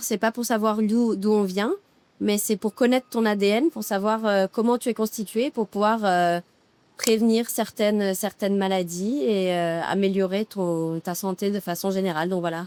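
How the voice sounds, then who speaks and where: A woman's medium-pitched voice with ordinary pitch variation, a fairly slow pace, and a dry, close sound with no echo. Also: very clean recording, silent background. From Monaco. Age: 30s. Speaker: public relations freelancer, facial client. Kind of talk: casual interview chat. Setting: outdoors by the sea in Dubai. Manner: hesitant, many fillers.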